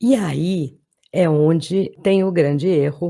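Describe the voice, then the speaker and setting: A woman is speaking. Her tone is dark and mellow. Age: 60s. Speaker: political commentator. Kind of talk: political monologue to camera.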